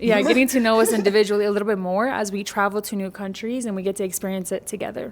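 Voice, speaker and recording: Noticeable background noise runs under a woman talking at a very fast pace with hardly any pauses. Her medium-pitched voice keeps a monotone, flat intonation. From Mexican American. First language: bilingual English and Spanish. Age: 20s. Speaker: podcast host. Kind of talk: casual podcast conversation.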